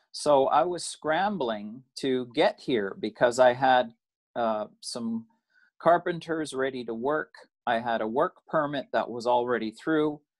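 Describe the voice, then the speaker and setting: Over a quiet background, a man talks at a fairly slow pace with ordinary pitch variation. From Canada. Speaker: recent emigrant. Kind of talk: interview. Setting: video call. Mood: calm storytelling. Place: home room. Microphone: video call.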